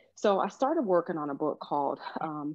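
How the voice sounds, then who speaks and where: A woman has a fairly low pitch and an ordinary speaking voice. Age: 50s. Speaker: author and life coach. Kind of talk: interview, personal testimony.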